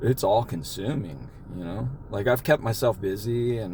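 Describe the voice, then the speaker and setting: A man's somewhat breathy voice has a dark, mellow tone at medium pitch. He moves at a moderate pace with ordinary pitch variation. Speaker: podcast host living with Tourette syndrome. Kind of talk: personal testimony in casual chat. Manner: halting, with repeated restarts.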